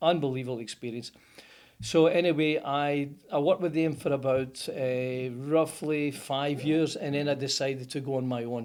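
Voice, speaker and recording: A man with a Scottish accent, fairly high in pitch, at a moderate pace with fairly even intonation. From Scotland, Motherwell. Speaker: plumber, business owner. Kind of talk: interview answer. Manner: casual, storytelling.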